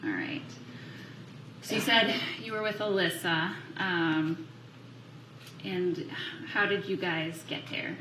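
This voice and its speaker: The speech is very slow, broken by long, frequent pauses, with lively intonation. Room echo is audible and background noise is noticeable. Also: woman, medium pitch for a woman. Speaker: prosecutor questioning a witness. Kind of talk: courtroom witness examination. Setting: courtroom.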